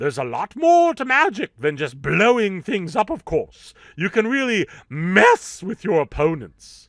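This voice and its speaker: In a put-on character voice, a man speaks at a moderate pace with a high pitch and very wide pitch swings. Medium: solo performance. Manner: theatrical, upbeat.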